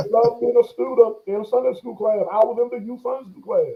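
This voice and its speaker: This is a man with an American accent. His pitch is high. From Texas, Bastrop near Austin. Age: 40s. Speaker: pastor. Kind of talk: interview. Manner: halting, repetitive.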